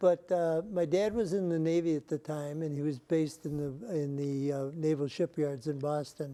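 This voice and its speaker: With a Midwestern American accent, a man talks at a moderate pace with hardly any pauses. His voice is dark and mellow, fairly high in pitch, with ordinary pitch variation. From US Midwest, Detroit area. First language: Greek. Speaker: retired professor, survey methodologist. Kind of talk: oral history interview. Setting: at a conference.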